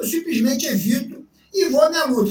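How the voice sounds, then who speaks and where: Extremely high in pitch, a man's voice swings very widely up and down. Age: 60s. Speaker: jiu-jitsu veteran. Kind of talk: casual interview.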